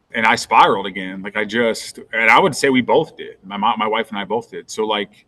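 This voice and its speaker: At a fairly quick pace with hardly any pauses, a man with a medium pitch, ordinary pitch variation and a bright, sharp tone speaks with big swings in loudness. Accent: American. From US Midwest, northwest Ohio. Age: 40s. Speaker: fitness transformation storyteller. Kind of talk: podcast interview. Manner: animated.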